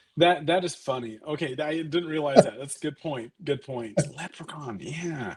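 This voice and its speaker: Big swings in loudness mark this man's fairly high voice, which has ordinary pitch variation and moves at a moderate pace. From Canada, raised in Los Angeles. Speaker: film director. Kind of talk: interview answer. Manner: casual, hesitant with fillers.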